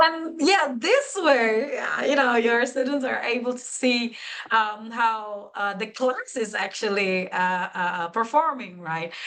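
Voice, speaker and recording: Her voice is fairly high with lively intonation. The woman speaks at a very slow pace with hardly any pauses. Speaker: webinar presenter. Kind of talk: webinar tutorial. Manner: hesitant, many fillers.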